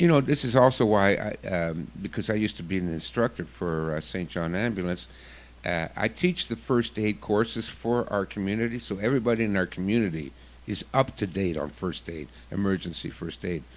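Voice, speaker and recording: On a very clean recording with a silent background, a man with a fairly low pitch and a normal speaking voice talks at a fairly quick pace. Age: 60s. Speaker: self-defense instructor. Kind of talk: radio interview.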